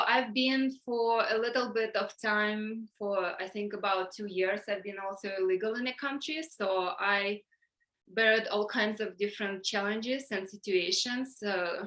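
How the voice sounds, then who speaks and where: At a fairly slow pace, a woman speaks with a fairly high pitch, a bright, sharp tone and fairly even intonation. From Ukraine, Donetsk. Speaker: workshop leader. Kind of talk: online workshop talk. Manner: halting, many fillers.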